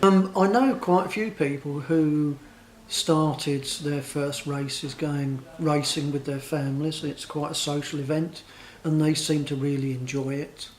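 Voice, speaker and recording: A man's fairly high, a normal speaking voice, at a fairly slow pace with fairly even intonation. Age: 60s. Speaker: interviewee. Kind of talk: vox pop interview.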